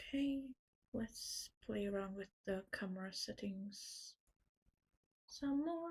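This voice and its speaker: Quiet and somewhat breathy, a woman speaks at a very slow pace with a medium pitch, lively intonation and long, frequent pauses. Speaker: artist streaming drawing. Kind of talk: casual livestream chat. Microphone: too quiet, volume maxed.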